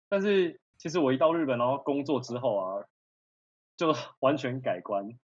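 An unremarkable speaking voice moves along at a moderate pace. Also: man, fairly high pitch for a man. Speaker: culinary school graduate who lived in Japan. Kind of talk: casual chat.

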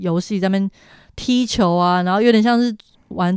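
The recording is very clean, with a silent background. A woman at medium pitch talks fairly quickly in an ordinary speaking voice. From Taiwan. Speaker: travel planner. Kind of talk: casual interview about travel.

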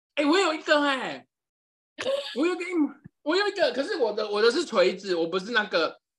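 Long, frequent pauses within a fairly quick pace. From Taiwan, Yilan. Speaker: podcast co-host. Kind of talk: casual chat.

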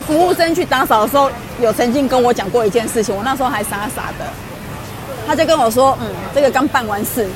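A woman talks at a very fast pace and a high pitch with ordinary pitch variation, yet leaves long, frequent pauses. Crowd noise and audible room echo fill the background. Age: middle-aged. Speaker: co-presenter. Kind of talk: casual chat.

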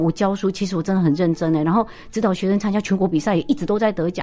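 A woman speaks at a very fast pace with an animated tone. Her pitch sits at a medium level. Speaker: business professor and investment author. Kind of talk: interview.

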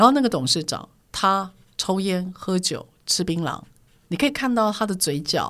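A woman's medium-pitched voice at a moderate pace, with lively intonation and long, frequent pauses, on a very clean recording with a silent background. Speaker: corporate trainer. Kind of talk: interview storytelling. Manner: assertive, forceful-sounding.

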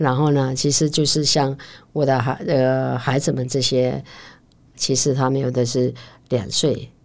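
A woman speaks in a very deep, low voice at a fairly slow pace, her intonation monotone and flat, her loudness very even, with long, frequent pauses on a very clean recording over a silent background. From Pingtung, Taiwan (Wutai Rukai village). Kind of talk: interview conversation.

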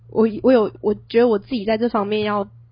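A woman with a fairly high pitch speaks at a moderate pace, sounding somewhat breathy. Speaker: university student podcast co-host. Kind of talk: casual chat.

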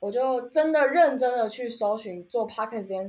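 The intonation is lively throughout. A woman delivers her lines at a very fast pace. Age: 20s. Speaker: podcast host. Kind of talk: casual chat.

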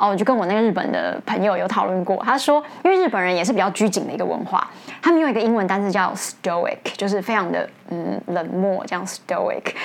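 A woman talks at a fairly quick pace with lively intonation in an ordinary speaking voice. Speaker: English teacher and podcast host. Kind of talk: educational talk.

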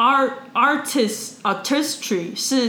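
Against noticeable background noise, a woman speaks in an animated tone with lively intonation. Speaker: podcast co-host. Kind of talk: casual chat.

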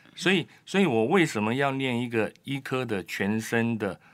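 On a very clean recording with a silent background, a man with an ordinary speaking voice and medium pitch talks at a fairly slow pace. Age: 60s. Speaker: immunology professor and doctor. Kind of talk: interview. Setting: studio.

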